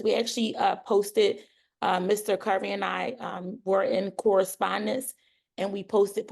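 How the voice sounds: A woman does a put-on character voice, raspy and hoarse, at a medium pitch. She keeps a moderate pace.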